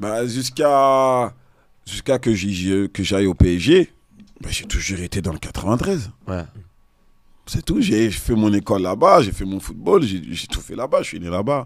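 A man's fairly low voice at a very slow pace, dry sound with no echo, over a quiet background. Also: lively intonation, big swings in loudness. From Seine-Saint-Denis, Paris suburbs, France; Paris, France. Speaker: retired professional footballer; podcast guest. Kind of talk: casual interview. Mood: relaxed, reflective. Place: studio. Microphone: studio mic.

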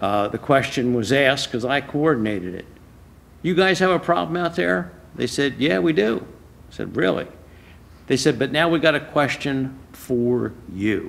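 A man's medium-pitched voice, fairly bright in tone, with lively intonation, vocal fry and a moderate pace

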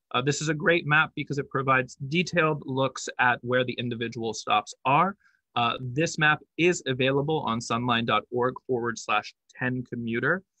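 Recorded dry with no echo against a quiet background, a man speaks at a moderate pace with ordinary pitch variation. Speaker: presenter. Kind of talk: presentation. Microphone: webcam.

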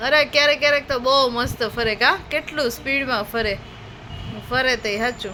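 A woman projects her high voice with ordinary pitch variation. Noticeable background noise runs underneath. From Gujarat, Amreli district. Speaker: family vlogger. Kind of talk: casual vlog narration.

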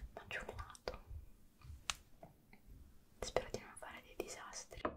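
A woman is whispering. Her pace is fairly slow. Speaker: ASMR creator. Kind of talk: soft-spoken ASMR chat. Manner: soft, close-mic ASMR murmur. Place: home room. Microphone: studio mic.

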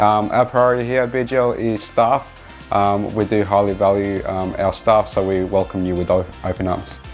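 Faint music plays in the background as a man talks at a fairly slow pace with ordinary pitch variation. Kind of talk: interview answer. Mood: friendly, promotional. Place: office. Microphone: lapel.

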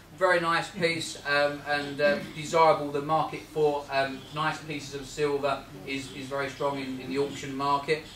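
A man's fairly high voice at a moderate pace, flat and monotone, with hardly any pauses over noticeable background noise. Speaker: auctioneer giving valuations at a Rotary talk. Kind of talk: valuing antiques for a live audience, talking to members.

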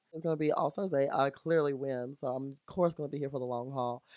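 The sound is dry with no echo, and the background is quiet. A man talks at a fairly quick pace with ordinary pitch variation. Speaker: drag performer reviewing a season. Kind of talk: casual podcast storytelling. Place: home room. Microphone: studio mic.

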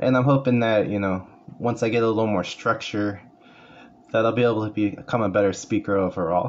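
This man speaks with a Californian accent. His pace is fairly quick and his intonation fairly even. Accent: Californian American English. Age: 40s. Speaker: paraeducator and community college student. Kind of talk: class self-introduction speech. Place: home room. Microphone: phone near.

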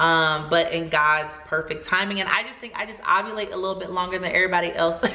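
A woman's fairly quick, fairly low-pitched speech, monotone and flat in intonation, with audible room echo. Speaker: vlogger. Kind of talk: casual vlog chat. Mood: joyful, grateful. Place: home room.

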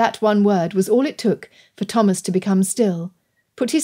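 The speaker reads aloud in a natural voice. Behind the voice, the background is quiet.

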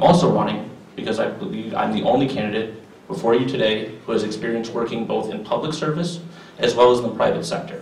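A man's fast, medium-pitched voice with fairly even intonation, vocal fry and a slightly mellow tone, in strong room echo.

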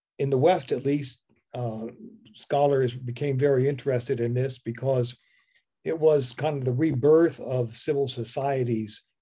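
A man's somewhat breathy voice, dark and mellow in tone, with fairly even intonation against a quiet background. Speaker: presenter. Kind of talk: lecture. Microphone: video call.

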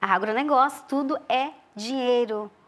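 At a very slow pace, a woman talks with an Amazonian accent. Her intonation stays fairly even. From Brazil, Amazonas, Tikuna village near Colombia-Peru border. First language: Tikuna (speaking Portuguese). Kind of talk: interview.

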